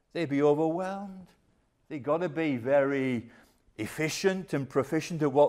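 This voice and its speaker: A man speaks at a moderate pace with a fairly high pitch and fairly even intonation, in a plain, everyday voice. The recording is very clean, with a silent background. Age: 60s. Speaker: pastor. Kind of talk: sermon. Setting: church.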